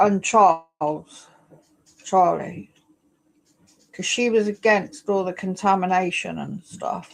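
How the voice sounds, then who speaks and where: A woman speaks very slowly, leaving long, frequent pauses. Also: medium pitch for a woman, fairly even intonation, big swings in loudness. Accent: English. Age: 60s. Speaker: live streamer. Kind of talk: casual livestream chat. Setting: home livestream on laptop. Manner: halting. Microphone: new laptop.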